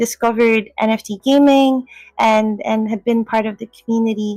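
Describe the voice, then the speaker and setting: Over background music, a woman with a Filipino accent speaks at a moderate pace and a fairly high pitch, the sound dry and close with no echo. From Philippines. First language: Filipino language. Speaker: Web3 community host. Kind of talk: casual chat.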